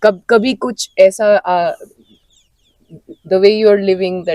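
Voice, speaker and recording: The sound is dry and close, with no echo. A woman talks in a dark, mellow tone. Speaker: folk musician. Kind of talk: casual chat. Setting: festival venue. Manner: animated.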